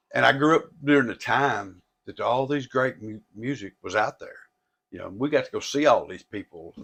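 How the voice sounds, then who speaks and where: Moving through big swings in loudness, a man speaks at a moderate pace with a Tennessee accent. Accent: Southern US (Tennessee). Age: 60s. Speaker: record and comic store owner. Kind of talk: casual interview chat. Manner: halting, repetitive.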